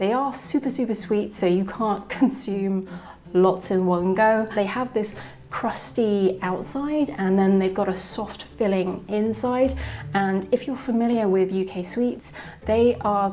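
A woman at a fairly slow pace, with ordinary pitch variation, amid noticeable background noise. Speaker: travel vlogger. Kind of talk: travel vlog narration.

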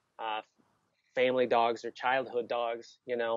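The recording is dry, with no echo at all. The voice belongs to a man. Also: quiet background. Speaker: guest. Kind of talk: interview answer. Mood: warm, reminiscing. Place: home room. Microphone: earbuds.

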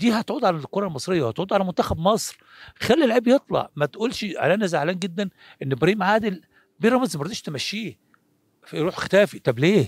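A man with a high pitch talks at a fairly quick pace against a quiet background, the sound dry with no echo. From Egypt. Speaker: former football goalkeeper; interviewee. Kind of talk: interview. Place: open country. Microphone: handheld.

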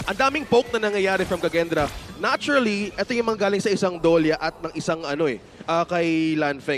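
Music plays behind a man who speaks at a fairly quick pace in a high pitch with lively intonation. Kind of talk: esports live commentary. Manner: excitable, quick play-by-play with banter.

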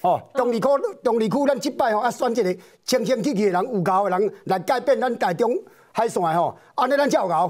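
Speaking fairly quickly against a quiet background, a man with an extremely high pitch uses lively intonation and keeps his loudness very even. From Taiwan. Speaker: political commentator. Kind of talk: political talk show debate. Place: studio.

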